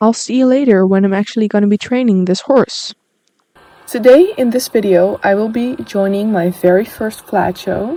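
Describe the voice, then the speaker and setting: A woman with a Dutch accent talks at a moderate pace in a fairly high voice. Her tone is dark and mellow, with ordinary pitch variation. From Netherlands. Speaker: gaming youtuber. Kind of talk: casual gameplay commentary. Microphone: phone recording, picks up background noise.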